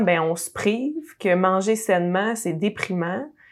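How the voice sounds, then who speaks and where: Speaking very slowly at a medium pitch with ordinary pitch variation, a woman is heard in a very clean recording with a silent background. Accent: Quebec. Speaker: podcast host. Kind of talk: interview.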